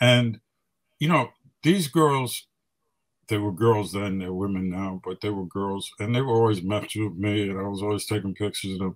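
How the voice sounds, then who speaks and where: In a New York accent, a man with a fairly low pitch and ordinary pitch variation speaks against a quiet background. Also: moderate pace. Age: 70s. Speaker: hip hop photographer. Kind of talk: casual interview. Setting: radio studio. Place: home room. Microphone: webcam.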